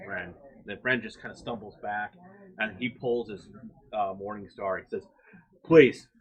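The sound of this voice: The intonation here is lively. It belongs to an unforced reading voice.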